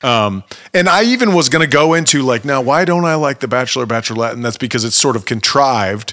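This man talks very fast in a medium-pitched voice with a bright, sharp tone. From Ohio, US Midwest. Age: 30s. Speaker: podcast host and musician. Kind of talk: casual chat; scripted narration.

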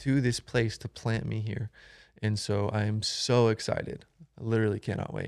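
The speaker has an American accent and monotone, flat intonation. The recording is very clean with a silent background and a dry, close sound with no echo. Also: man. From Florida. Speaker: churchgoer, student. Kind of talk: casual interview about faith.

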